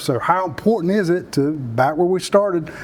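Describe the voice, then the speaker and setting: The speaker is a man with a South Carolina accent. His pitch varies in an ordinary way. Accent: Southern US (South Carolina). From US South. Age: 60s. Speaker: Marine veteran and economic development leader. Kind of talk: interview.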